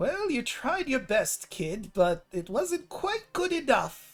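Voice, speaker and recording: Faint music plays in the background as a high, put-on character voice moves at a fairly slow pace with very wide pitch swings. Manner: mocking, chiding.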